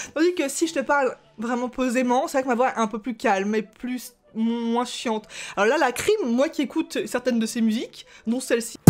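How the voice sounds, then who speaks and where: The voice is shrill and animated in tone, moving at a moderate pace with ordinary pitch variation. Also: woman, high pitch for a woman. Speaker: YouTuber, gamer. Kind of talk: reading and reacting to comments. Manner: casual, animated.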